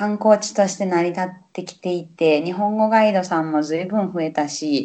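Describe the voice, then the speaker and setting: A woman speaks at a medium pitch with a Kansai accent and a dark, mellow tone. The background is quiet. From Osaka, Japan. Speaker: Japanese language teacher. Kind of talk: casual chat. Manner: animated.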